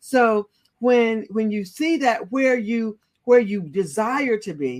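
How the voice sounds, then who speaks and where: In a dry, close sound with no echo, a woman with an unremarkable speaking voice talks at a fairly high pitch with lively intonation. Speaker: leadership coach. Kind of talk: inspirational interview conversation.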